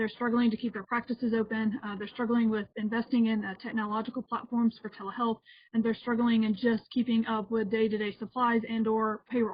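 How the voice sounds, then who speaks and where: Speaking at a very fast pace, a woman uses a monotone, flat intonation. Her fairly high voice is somewhat breathy. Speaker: healthcare consultant. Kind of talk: webinar presentation.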